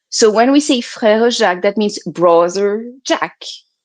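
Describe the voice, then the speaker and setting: At a moderate pace, a woman with a French accent speaks in a fairly high pitch with lively intonation over a quiet background. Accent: French accent, noticeable. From France. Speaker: healer. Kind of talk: interview.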